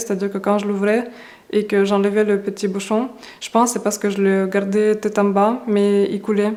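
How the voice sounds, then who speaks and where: A woman's monotone, flat delivery at a moderate pace over noticeable background noise. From Russia. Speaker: beauty YouTuber. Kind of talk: casual talk to camera.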